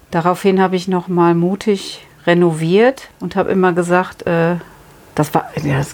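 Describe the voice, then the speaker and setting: With noticeable background noise behind her, a woman talks in a fairly low pitch. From Rhineland, Germany. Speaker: milliner, hat shop owner. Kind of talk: interview. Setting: in her hat shop.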